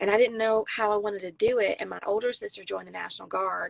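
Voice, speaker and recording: A woman with a South Carolina accent at a fairly quick pace. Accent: Southern US, South Carolina. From US South, South Carolina near Myrtle Beach. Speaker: Marine veteran and country singer-songwriter. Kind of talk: casual interview chat.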